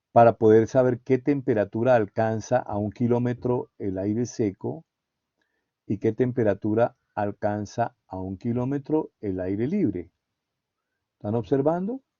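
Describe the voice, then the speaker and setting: Fairly slow delivery from a man at medium pitch, with ordinary pitch variation. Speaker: university lecturer. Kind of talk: lecture.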